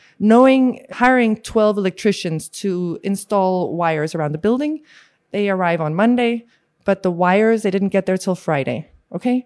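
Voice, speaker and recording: A woman's normal speaking voice, medium-pitched, at a moderate pace with lively intonation. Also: quiet background. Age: 40s. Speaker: space tech company CEO. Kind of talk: interview.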